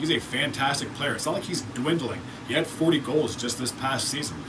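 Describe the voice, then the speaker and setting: Mumbled speech from a man at a fairly quick pace, with fairly even intonation, noticeable background noise and audible room echo. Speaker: sports YouTuber. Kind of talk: solo hockey team analysis video. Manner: mumbles words; casual, conversational with filler words.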